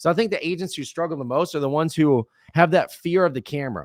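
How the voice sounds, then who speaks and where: In a very clean recording with a silent background and a dry, close sound with no echo, an animated tone comes through at a fairly quick pace. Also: man. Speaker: real estate content advisor. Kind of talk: podcast interview. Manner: loud.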